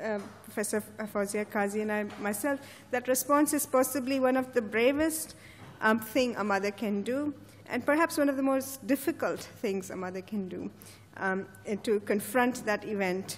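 Her pitch shifts by an ordinary amount. The speaker is a woman. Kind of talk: formal introduction. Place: hall. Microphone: podium.

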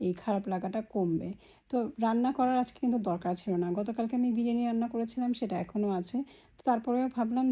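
Against a quiet background, a woman talks in a dark, mellow, somewhat breathy voice. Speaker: lifestyle vlogger. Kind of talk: personal vlog monologue.

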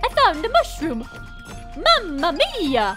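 This is a put-on character voice at an extremely high pitch, delivered at a fairly slow pace. Clear music plays in the background. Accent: Italian.

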